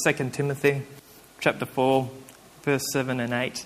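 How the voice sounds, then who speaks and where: A man with an Australian accent speaks in a fairly high voice. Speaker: preacher. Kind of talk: sermon. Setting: church with congregation. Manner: halting, with frequent fillers.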